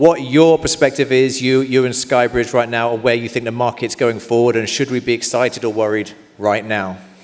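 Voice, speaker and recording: Over noticeable background noise, a man with a medium-pitched voice speaks at a fairly quick pace with hardly any pauses and fairly even intonation. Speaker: conference host interviewer. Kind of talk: live onstage interview. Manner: hesitant, many fillers.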